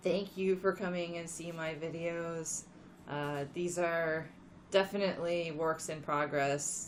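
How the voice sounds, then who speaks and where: A quiet woman's voice of fairly low pitch, at a very slow pace with monotone, flat intonation. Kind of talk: casual talk to camera.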